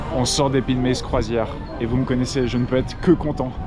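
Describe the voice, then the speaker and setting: The man talks at a fairly quick pace. Noticeable background noise and audible room echo are present. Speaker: theme park vlogger. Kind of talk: casual vlog commentary. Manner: enthusiastic.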